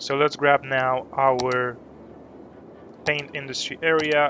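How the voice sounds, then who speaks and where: Very slowly and in a monotone, flat way, a man with a non-native accent and a fairly high pitch speaks against noticeable background noise. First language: not English. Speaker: gaming streamer. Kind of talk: live gameplay commentary. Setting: live stream.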